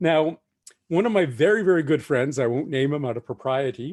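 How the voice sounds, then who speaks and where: Speaking in an unremarkable speaking voice, a man with a fairly high pitch and lively intonation keeps a moderate pace. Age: 60s. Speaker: science fiction novelist. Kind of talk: festival talk.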